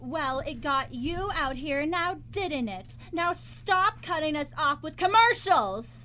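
A woman uses a put-on character voice, high-pitched with a bright, sharp tone. She goes at a slow pace with lively intonation.

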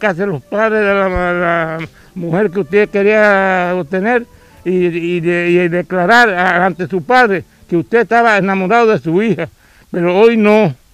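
Faint music plays behind a man who speaks fairly slowly at a high pitch, with fairly even intonation and a dry sound with no echo. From Cuba, Santiago de Cuba province. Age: 80s+. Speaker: farmer. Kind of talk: interview answer. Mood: proud, earnest. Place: garden. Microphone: handheld.

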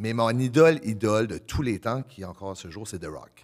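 The speaker goes at a fairly slow pace with lively intonation. The background is quiet. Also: man. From Acadian New Brunswick (Le Goulet). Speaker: professional wrestler, prison worker. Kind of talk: casual chat. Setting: stage with audience. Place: studio. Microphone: studio mic.

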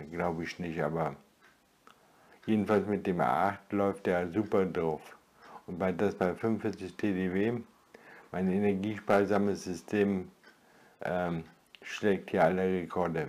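Very slow pace, fairly even intonation, and long, frequent pauses. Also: man, very deep, low pitch for a man. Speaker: retired video blogger. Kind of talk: solo vlog monologue. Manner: halting. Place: home room.

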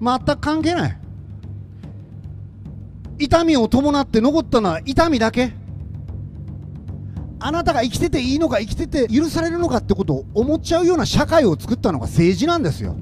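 With music in the background, a man speaks at an extremely high pitch, using lively intonation and long, frequent pauses. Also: moderate pace. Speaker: politician. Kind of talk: political stump speech. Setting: outdoors. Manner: impassioned, emphatic.

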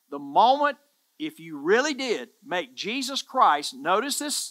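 A man uses a raised, projected voice with lively intonation. He keeps a moderate pace against a quiet background. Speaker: pastor, church preacher. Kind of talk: sermon, preaching to camera. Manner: emphatic, earnest, repeating words for emphasis. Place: studio. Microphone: headset.

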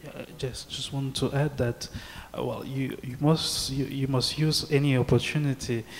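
A man speaks at a fairly slow pace in a fairly high pitch. His intonation is monotone and flat, with light background noise. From Cameroon. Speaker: human rights activist, NGO director; panelist. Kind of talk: panel discussion. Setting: stage with audience. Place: hall. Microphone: handheld.

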